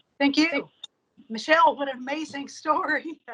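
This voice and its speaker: A woman with an Appalachian accent and a bright, sharp tone. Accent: southern Appalachian accent, ingrained. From Appalachia, southern Ohio. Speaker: breast cancer survivor, chemist. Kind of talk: testimony.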